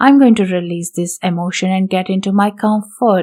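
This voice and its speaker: A woman with a non-native accent, medium pitch, fairly even intonation and a moderate pace. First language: not English. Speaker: intuitive healer and podcast host. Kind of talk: solo podcast talk. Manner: hesitant, with many fillers.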